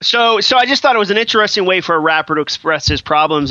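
A man with an American accent talks at a very fast pace with lively intonation. Noticeable background noise is present. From Massachusetts. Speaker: author and podcast guest. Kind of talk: casual chat. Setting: Skype call.

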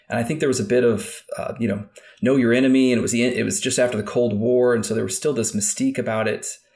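Talking at a very fast pace, a man with a Midwestern US accent uses a medium pitch and fairly even intonation. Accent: General American, Midwestern. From Kansas, US Midwest. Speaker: former FBI agent and national security official. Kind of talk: interview. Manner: hesitant, many fillers and repeats.

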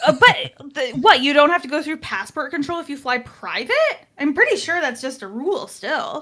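A woman with a high pitch uses a raised, projected voice at a moderate pace. Her pitch swings very widely and her loudness shifts in big swings. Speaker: podcaster. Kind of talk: casual chat.

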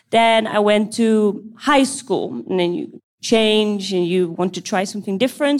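Very slowly, a woman with a Dutch accent speaks with ordinary pitch variation. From Netherlands, Amsterdam. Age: 20s. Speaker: CrossFit coach. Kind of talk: live Q&A panel. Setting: stage with audience.

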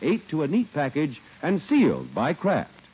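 The upbeat voice has vocal fry and very wide pitch swings. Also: man. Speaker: radio announcer. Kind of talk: scripted radio commercial and announcement reading. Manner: smooth, polished, upbeat, formal salesman delivery.

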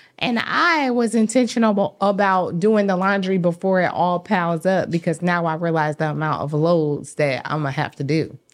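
A woman with a Southern US accent speaks at a moderate pace in a medium pitch, her intonation lively and her speech running on with hardly any pauses. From US South. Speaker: host's fiancée. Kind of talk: casual chat.

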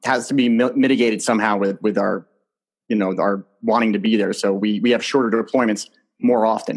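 A man with an American accent talks at a fairly quick pace in a medium pitch, with fairly even intonation and a normal speaking voice. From New Jersey. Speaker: retired soldier and podcast host. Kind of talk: interview.

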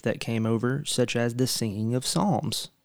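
A man speaks at a very slow pace. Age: 20s. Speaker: podcast host. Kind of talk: casual chat.

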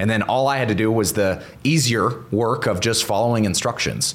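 A man talks with an American accent. Noticeable background noise is present. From US South, Northwest Florida near Pensacola. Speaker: entrepreneur and real estate investor. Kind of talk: podcast interview. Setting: host's home.

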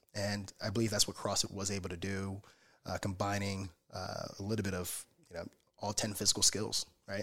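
A man with an American accent, fairly low pitch, a fairly quick pace and monotone, flat intonation. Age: 30s. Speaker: gym owner and coach. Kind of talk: casual chat.

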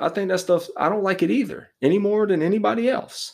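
In a very clean recording with a silent background, a man speaks at a moderate pace in a high pitch. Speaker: sports commentator. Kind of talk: angry sports rant, opinionated monologue. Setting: solo podcast. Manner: heated, emphatic, insistent; casual, conversational, filler-heavy.

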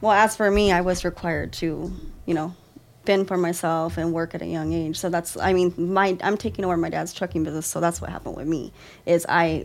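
On a very clean recording with a silent background, a woman with a fairly low pitch and vocal fry speaks at a fairly quick pace with fairly even intonation. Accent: American. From US, California desert near Death Valley. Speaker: guest's partner, trucking business owner. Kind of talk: casual chat.

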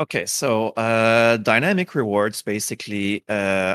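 Recorded very clean with a silent background and a dry, close sound with no echo, a man speaks in a strong French Canadian accent. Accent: heavy French-Canadian. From Quebec. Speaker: community member of a mobile game. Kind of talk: casual chat.

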